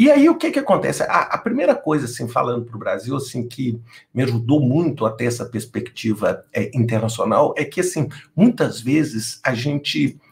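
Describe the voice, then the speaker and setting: A man talks at a moderate pace. He has a strong Minas Gerais accent. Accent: Minas Gerais accent, still strong. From Minas Gerais, Brazil. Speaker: project management executive, company founder. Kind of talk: interview conversation. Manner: hesitant, many fillers.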